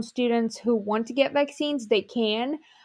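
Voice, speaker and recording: A woman with a Ukrainian accent speaks at high pitch. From Ukraine. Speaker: medical student. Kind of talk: interview.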